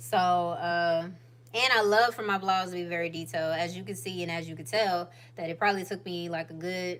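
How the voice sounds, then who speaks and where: With an Atlanta accent, a woman speaks at a moderate pace with a fairly low pitch and ordinary pitch variation. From US South, Atlanta Georgia. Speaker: YouTuber, lifestyle vlogger. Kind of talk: casual livestream chat. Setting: home livestream.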